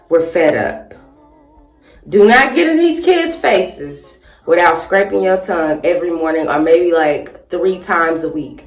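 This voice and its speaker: A woman at a fairly slow pace, with ordinary pitch variation and music in the background. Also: fairly low pitch for a woman. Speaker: YouTuber and 3rd grade teacher. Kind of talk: casual chat get-ready-with-me vlog. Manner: animated.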